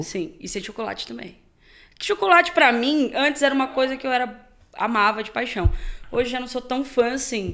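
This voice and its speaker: A woman's high, bright, sharp voice at a moderate pace, with lively intonation and big swings in loudness. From Guarujá, São Paulo state, Brazil. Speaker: sertanejo singer. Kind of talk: podcast interview answer. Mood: relaxed, animated storytelling. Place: studio. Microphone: studio mic.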